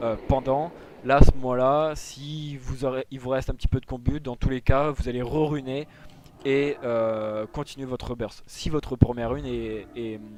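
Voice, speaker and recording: A man talks in a plain, everyday voice at medium pitch. His pace is fairly slow and his intonation fairly even. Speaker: gaming tutorial creator. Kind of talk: tutorial.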